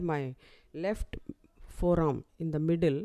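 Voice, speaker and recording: A woman speaks in a dark, mellow tone at a fairly low pitch. Her pace is very slow. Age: 70s. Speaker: retired professor of community medicine, patient. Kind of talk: patient testimony. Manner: halting, with many hesitations.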